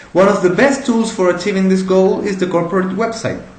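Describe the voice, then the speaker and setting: There is audible room echo and noticeable background noise as a man with a Spanish accent speaks at a high pitch. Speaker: entrepreneur. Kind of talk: pitch presentation. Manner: halting, with repeated words.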